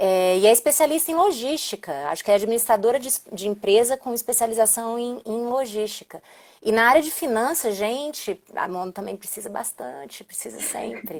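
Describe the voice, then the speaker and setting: A woman with a Brazilian accent speaks at a moderate pace in a fairly high pitch. Her intonation is lively, and her loudness swings widely. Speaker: diplomat. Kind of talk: live stream interview.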